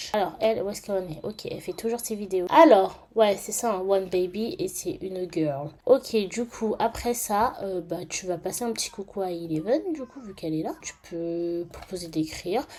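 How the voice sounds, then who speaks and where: A woman with a medium pitch and a dark, mellow tone speaks at a moderate pace with hardly any pauses. Her intonation is lively, and her loudness swings widely. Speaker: gaming YouTuber. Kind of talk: gameplay commentary. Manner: casual with many hesitations.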